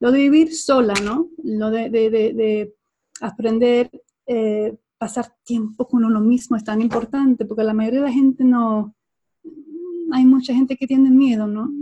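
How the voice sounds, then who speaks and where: A woman's fairly high voice, fairly even in intonation, at a fairly slow pace. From Sweden. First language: Swedish (speaking Spanish). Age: 40s. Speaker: body language trainer. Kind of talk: interview. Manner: halting.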